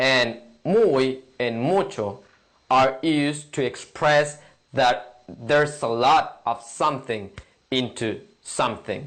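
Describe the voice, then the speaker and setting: A man's voice at a very slow pace, with ordinary pitch variation. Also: medium pitch for a man. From Mexico. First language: Spanish. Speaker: language teacher. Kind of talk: tutorial.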